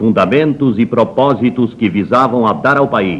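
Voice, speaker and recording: Speaking at a fairly slow pace, a man uses a normal speaking voice with medium pitch and ordinary pitch variation. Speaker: radio announcer. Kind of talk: official government radio broadcast read. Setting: 1960s radio broadcast recording.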